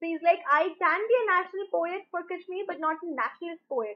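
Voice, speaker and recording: A woman moves through her words at a fairly quick speed, her pitch varying in an ordinary way, with a quiet background. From India. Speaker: online teacher. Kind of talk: lecture. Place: home room. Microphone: webcam.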